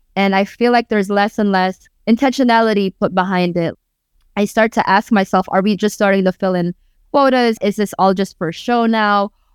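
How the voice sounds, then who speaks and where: In a Filipino accent, a woman talks at a medium pitch with fairly even intonation. The very clean recording has a silent background and a dry, close sound with no echo. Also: moderate pace. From Tacloban, Philippines, raised Bay Area California. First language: Waray-Waray. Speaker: rapper and spoken word artist. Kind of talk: casual interview conversation.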